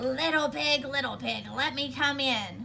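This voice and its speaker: Using a put-on character voice, a woman speaks at a fairly slow pace over clear background noise. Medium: read story. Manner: wheedling, scheming.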